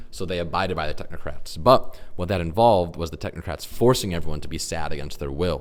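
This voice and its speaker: At a very fast pace with hardly any pauses, a man speaks at a very deep, low pitch with ordinary pitch variation. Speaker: composer and music director pitching a show. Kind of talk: pitch presentation. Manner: casual.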